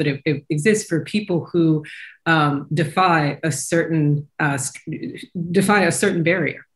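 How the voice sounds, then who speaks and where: A woman's very deep, low-pitched, somewhat breathy voice with an American accent and ordinary pitch variation. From US South, Kentucky. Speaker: professor, panel guest. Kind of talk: panel discussion. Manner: animated.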